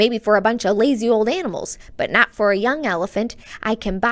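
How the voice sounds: The intonation of a natural reading voice stays fairly even here.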